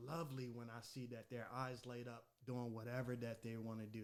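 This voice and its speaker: This man has an ordinary speaking voice, a medium pitch and an American accent, and he speaks at a moderate pace. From Maryland, Anne Arundel County. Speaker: podcast host. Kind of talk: casual chat.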